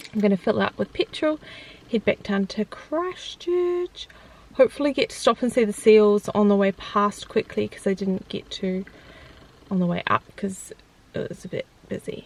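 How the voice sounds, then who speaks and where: A woman with a New Zealand accent speaks at a moderate pace with a fairly high pitch and very wide pitch swings, against noticeable background noise. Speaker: vlogger. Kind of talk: casual vlog talk. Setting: in a car; outdoors by the road. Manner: animated.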